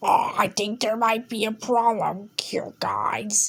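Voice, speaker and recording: A put-on character voice growls its way along at a fairly slow pace. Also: woman, fairly high pitch for a woman. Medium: read story.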